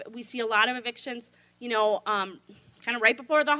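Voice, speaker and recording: Raised and projected, a woman's voice with a bright, sharp tone. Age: 30s. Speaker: tenant attorney and county supervisor. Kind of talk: forum talk. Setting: luncheon audience.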